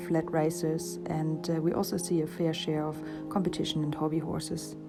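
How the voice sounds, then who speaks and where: Background music accompanies a woman talking at a moderate pace. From Germany. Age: 30s. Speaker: equine veterinary surgeon. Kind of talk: professional self-introduction to camera.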